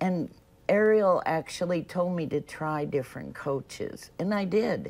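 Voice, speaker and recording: Fairly slow female speech, fairly low in pitch, its pitch shifting in an ordinary way. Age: 60s. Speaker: weight loss client. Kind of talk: TV interview. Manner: halting.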